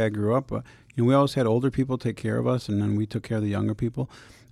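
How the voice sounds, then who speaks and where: On a very clean recording with a silent background, a man with an American accent speaks at medium pitch and a very fast pace. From Saint Paul, Minnesota. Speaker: former pro soccer player, foundation founder. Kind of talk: interview.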